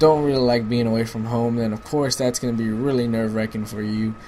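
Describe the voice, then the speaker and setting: With an American accent, a man speaks at a fairly quick pace. His pitch is medium, and background noise is noticeable. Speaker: gaming commentator. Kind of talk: casual advice talk over gameplay. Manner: casual, filler-heavy.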